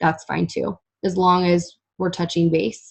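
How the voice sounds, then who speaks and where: A woman's fairly low-pitched voice, somewhat breathy in quality. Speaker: fitness coach. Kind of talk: casual chat. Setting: group call.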